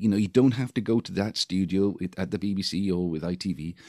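The voice carries a Welsh accent. The sound is dry and close, with no echo. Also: man. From Wales. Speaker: musician. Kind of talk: interview. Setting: video call.

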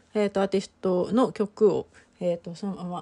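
A woman speaks at a medium pitch in a monotone, flat delivery, her dark, mellow tone a little breathy. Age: 40s. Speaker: podcast host. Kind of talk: casual chat. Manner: many fillers and hesitations.

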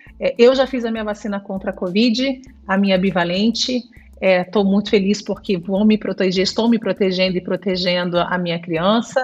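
A woman talks with fairly even intonation, her voice somewhat breathy. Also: medium pitch for a woman, moderate pace. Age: 40s. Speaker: infectious disease doctor. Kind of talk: interview.

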